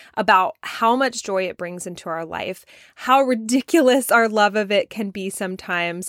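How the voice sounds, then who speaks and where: At a moderate pace and medium pitch, a woman speaks in an animated tone with ordinary pitch variation, recorded very cleanly with a silent background. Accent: slight Southern US. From US South. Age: 30s. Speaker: podcast host. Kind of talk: solo podcast monologue.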